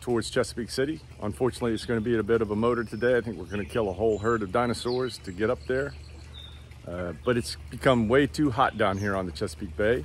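Set against light background noise, a man speaks at a very fast pace, the sound dry with no echo. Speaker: sailor vlogger. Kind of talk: casual vlog chat. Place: waterside. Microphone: phone near.

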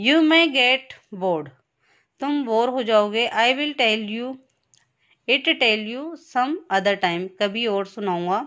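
A normal speaking voice moves with lively intonation. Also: woman, fairly high pitch for a woman. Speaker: school teacher. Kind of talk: lesson reading aloud with translation.

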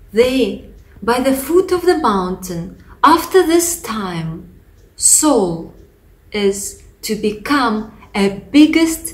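Speaking with a Russian accent, a woman talks very slowly at a high pitch. Her voice makes very wide pitch swings. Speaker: pastor. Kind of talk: testimony. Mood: earnest, reflective.

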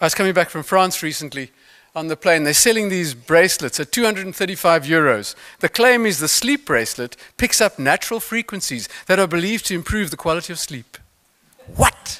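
The voice has a bright, sharp tone and lively intonation, with a South African accent at a moderate pace. The background is quiet. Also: man, high pitch for a man. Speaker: motivational speaker, mental toughness expert; motivational speaker. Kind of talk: conference keynote talk. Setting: stage with audience. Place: stage. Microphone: podium.

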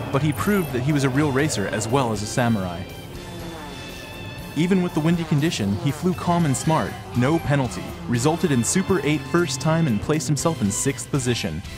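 Over music in the background, a man with a fairly high pitch speaks at a fairly quick pace, his intonation lively and his loudness very even. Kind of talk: sports documentary narration.

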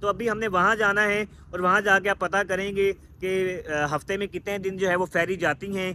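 Over light background noise, a man projects a raised voice with a bright, sharp tone, keeping a monotone, flat intonation at a moderate pace with hardly any pauses, the sound dry with no echo. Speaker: travel vlogger. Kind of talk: casual vlog chat. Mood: resigned but hopeful. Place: street. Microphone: phone near.

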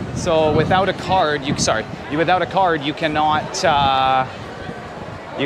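A man speaks at a fairly slow pace with a fairly high pitch, over noticeable background noise. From Canada, Vancouver; Canada. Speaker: travel vlogger. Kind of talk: casual vlog narration. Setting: outdoors at stadium. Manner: animated. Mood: playful, joking. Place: stadium. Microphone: phone near.

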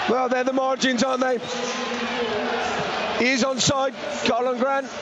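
Loud background noise fills the clip as the speech moves at a very slow pace. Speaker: co-commentator, club pundit and fan. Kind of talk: live football co-commentary, emotional fan-style reaction and analysis.

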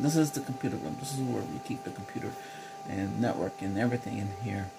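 A man's voice with ordinary pitch variation, clear music playing behind it. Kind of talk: ASMR roleplay chat. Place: home room.

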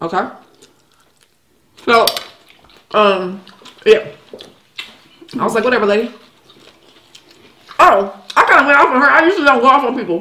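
With audible room echo, a woman talks at a fairly quick pace, her pitch swinging very widely between long, frequent pauses. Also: fairly high pitch for a woman. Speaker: tax preparer. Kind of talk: casual talk to camera, mukbang. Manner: animated, storytelling, casual. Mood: annoyed storytelling. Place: kitchen.

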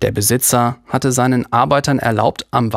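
A natural reading voice delivers the words with fairly even intonation.

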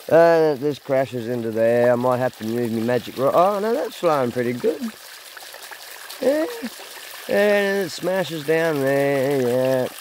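A man with an Australian accent uses lively intonation and long, frequent pauses, the sound dry with no echo over light background noise. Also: fairly high pitch for a man, fairly slow pace. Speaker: gold prospecting vlogger. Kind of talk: casual vlog narration. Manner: halting, many fillers. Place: waterside. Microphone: phone near.

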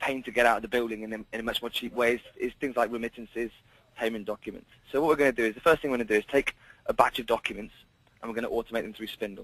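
Very fast speech in a dry sound with no echo and fairly even intonation. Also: man. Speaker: software demonstrator. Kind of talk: tutorial. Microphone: video call.

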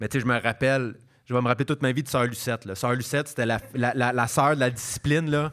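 Very fast speech from a man at medium pitch, ordinary pitch variation, quiet background. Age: 30s. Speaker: stand-up comedian; podcast guest, comedian. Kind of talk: casual interview chat. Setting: stage with live audience. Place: stage. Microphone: handheld.

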